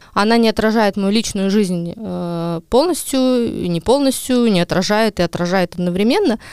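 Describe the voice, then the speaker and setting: A woman with a plain, everyday voice speaks in a medium pitch at a moderate pace, with ordinary pitch variation and a dry, close sound with no echo. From Estonia, Ida-Viru county. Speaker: journalist. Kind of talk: casual chat.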